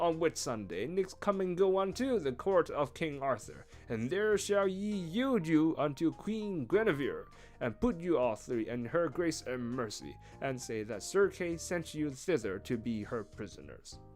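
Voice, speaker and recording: A man's put-on character voice with very wide pitch swings at a moderate pace, music in the background. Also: fairly high pitch for a man. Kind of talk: archaic storybook reading. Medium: virtual streamer. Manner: formal, archaic speech.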